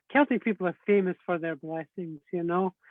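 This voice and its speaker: A man with a Scottish accent talks at a fairly quick pace. His high pitch holds a fairly even intonation. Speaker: Celtic spirituality teacher. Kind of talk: interview on spirituality. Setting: live video stream.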